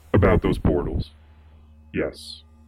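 A man speaking at a moderate pace, with music in the background. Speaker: quirky caller. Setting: phone call.

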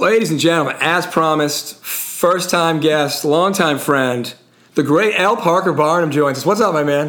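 The voice moves at a moderate pace with ordinary pitch variation and very even loudness, with noticeable background noise and audible room echo. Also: man, fairly high pitch for a man. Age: 40s. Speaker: podcast host. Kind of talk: casual chat.

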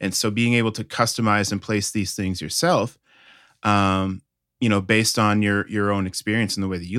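A man with an American accent and a normal speaking voice talks at a moderate pace, fairly low in pitch and with fairly even intonation. The recording is very clean, with a silent background. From Connecticut, US Northeast. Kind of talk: interview.

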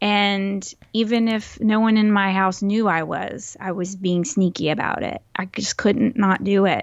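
A woman talks in a Texas accent at a fairly slow pace. Her intonation is fairly even, with hardly any pauses. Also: medium pitch for a woman. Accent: mild Texas. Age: 40s. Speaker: podcast co-host. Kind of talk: casual chat. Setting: home recording, remote.

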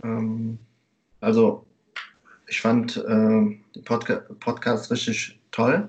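A man speaks at a very slow pace, his loudness swinging widely, with long, frequent pauses. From Germany. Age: 30s. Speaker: teacher. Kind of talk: interview. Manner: hesitant, many fillers.

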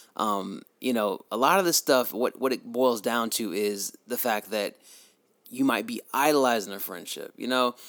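A man speaks at a moderate pace and medium pitch with ordinary pitch variation, an ordinary speaking voice heard in a dry, close sound with no echo. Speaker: podcast host. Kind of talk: casual chat.

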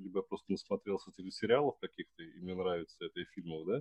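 The sound is dry and close, with no echo. A man talks very fast in a fairly low voice. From Russia, Samara. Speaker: podcast host. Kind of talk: casual chat.

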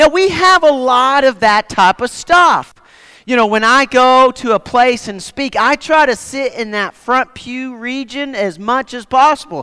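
An extremely high-pitched man speaks at a fairly slow pace in a raised, projected voice with lively intonation and a bright, sharp tone. The very clean recording has a silent background and a dry, close sound with no echo. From Nova Scotia, Canada. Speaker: guest preacher. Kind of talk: sermon. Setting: church.

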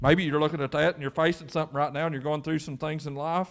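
Recorded very cleanly against a silent background, a man with an Appalachian accent talks at fairly high pitch with ordinary pitch variation. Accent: Appalachian Kentucky. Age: 40s. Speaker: pastor. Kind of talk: sermon. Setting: church.

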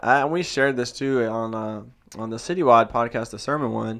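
On a very clean recording with a silent background, a plain, everyday voice moves at a fairly quick pace with ordinary pitch variation. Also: man. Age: 30s. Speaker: church planter, pastor. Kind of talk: interview.

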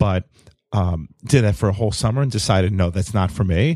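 A man with a fairly low pitch and ordinary pitch variation is heard in a very clean recording with a silent background, the sound dry and close with no echo. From New York. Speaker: coffee roaster and cafe owner. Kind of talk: casual interview chat. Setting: studio podcast with video. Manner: hesitant, many fillers.

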